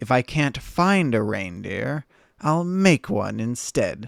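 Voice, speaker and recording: A man's put-on character voice, growling at a medium pitch and a fairly slow pace, in a very clean recording with a silent background. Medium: virtual streamer. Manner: sneering, snarling, sly.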